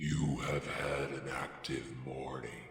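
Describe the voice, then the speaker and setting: A man puts on a growling character voice with a very deep, low pitch and monotone, flat intonation. He speaks at a very slow pace, with a clear echo. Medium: read story. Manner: slow, measured.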